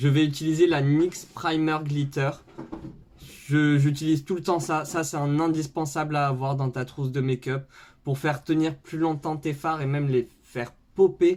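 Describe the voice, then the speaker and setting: In a very clean recording with a silent background, a man with a southern French accent talks at a moderate pace, his fairly high pitch held monotone and flat. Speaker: makeup YouTuber. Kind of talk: makeup tutorial. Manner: casual, filler-heavy.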